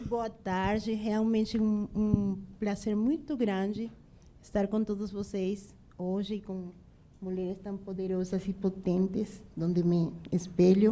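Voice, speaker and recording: A very slow pace in a woman's voice of medium pitch. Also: fairly even intonation. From Venezuela, Bolívar. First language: Spanish (speaking Portuguese). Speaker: restaurant entrepreneur. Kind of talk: panel discussion.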